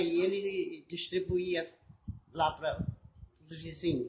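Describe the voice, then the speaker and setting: With lively intonation, a woman speaks in a somewhat breathy voice. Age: old. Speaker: eyewitness. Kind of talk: interview.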